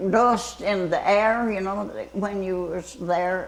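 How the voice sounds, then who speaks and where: A woman at a medium pitch and fairly slow pace, with ordinary pitch variation and noticeable background noise. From Louisiana. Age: 80s+. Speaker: retired fire tower lookout. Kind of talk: interview answer.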